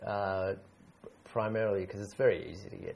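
At a very fast pace, a man speaks with an Australian accent. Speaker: English teacher. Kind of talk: casual word game chat.

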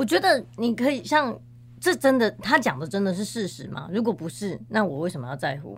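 At a fairly quick pace, a woman with a medium pitch and vocal fry speaks with very wide pitch swings and big swings in loudness. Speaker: professional organizer. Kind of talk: interview conversation.

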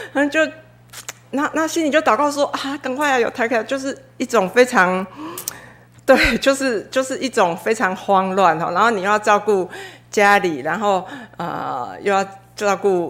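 Noticeable background noise sits under a woman talking at a moderate pace with lively intonation. She leaves long, frequent pauses. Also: fairly high pitch for a woman. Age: 40s. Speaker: church member giving testimony. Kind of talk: testimony. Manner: halting, many fillers.

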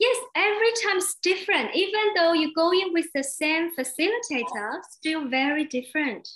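Her pitch extremely high and swinging very widely, a woman speaks at a moderate pace with very even loudness. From Taiwan. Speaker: interpreter and host. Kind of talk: consecutive interpreting. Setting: video call.

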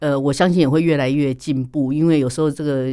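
On a very clean recording with a silent background, a man with a fairly high pitch and a dark, mellow tone speaks in a monotone, flat intonation at a fairly quick pace. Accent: Taiwanese. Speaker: speech therapist. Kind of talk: interview.

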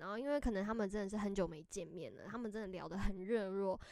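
A woman speaks at medium pitch with a Taiwanese accent. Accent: Taiwanese Mandarin. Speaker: podcast co-host. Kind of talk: casual chat.

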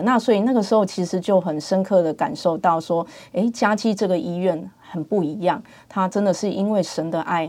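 A woman talks at a moderate pace. Her medium-pitched voice shows ordinary pitch variation. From Taiwan, Pingtung. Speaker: dentist, hospital department head. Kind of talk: interview, faith testimony. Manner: hesitant, many fillers.

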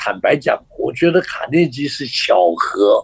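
A man talks at a very slow pace. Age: 80s+. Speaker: author and communication trainer. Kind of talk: radio interview.

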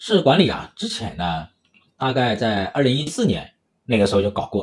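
Medium-pitched male voice at a moderate pace, with very wide pitch swings. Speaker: economics livestream host. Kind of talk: livestream commentary. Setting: livestream. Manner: filler-heavy, hesitant.

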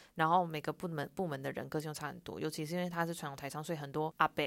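A woman talks at a very fast pace. Her pitch variation is ordinary. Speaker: podcast co-host. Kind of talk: casual chat. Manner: odd, affected enunciation.

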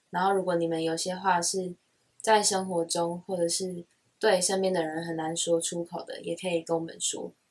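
A woman with a Taiwanese accent talks at a fairly low pitch. Her intonation is monotone and flat, at a moderate pace. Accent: Taiwanese Mandarin. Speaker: podcast co-host. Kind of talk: casual chat.

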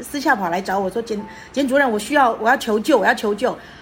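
A woman's plain, everyday voice, fairly high for a woman, with lively intonation. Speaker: retired teacher and public speaker. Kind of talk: interview.

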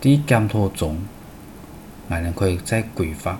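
A man speaks very slowly in a fairly low, somewhat breathy voice. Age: 50s. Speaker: radio program host. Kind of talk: scripted narration.

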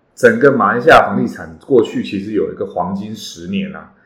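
At a moderate pace, a man speaks with a Taiwanese accent. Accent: Taiwanese Mandarin. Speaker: real estate agent and podcast host. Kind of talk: podcast monologue. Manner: many hesitation fillers.

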